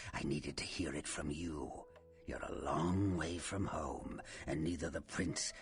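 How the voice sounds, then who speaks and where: Someone uses a put-on character voice at a fairly slow pace over clear background noise. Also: man. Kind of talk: horror villain. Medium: video game. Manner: taunting, theatrical, keeps calling listener boss.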